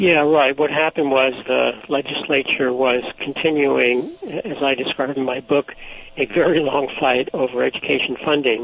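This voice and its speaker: Background noise is noticeable as a man talks at a moderate pace. His pitch is fairly high and his intonation fairly even. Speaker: author and former civil liberties advocate. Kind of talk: interview. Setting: phone call.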